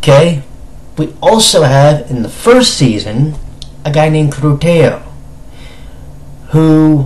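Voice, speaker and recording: Over noticeable background noise, a man with a fairly high pitch speaks at a very slow pace, with lively intonation and long, frequent pauses. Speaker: anime reviewer. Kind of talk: casual review talk to camera.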